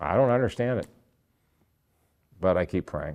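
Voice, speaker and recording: Speaking with an American accent, a man uses a medium pitch, very wide pitch swings and vocal fry at a fairly quick pace. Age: 60s. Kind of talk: inspirational faith talk. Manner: animated.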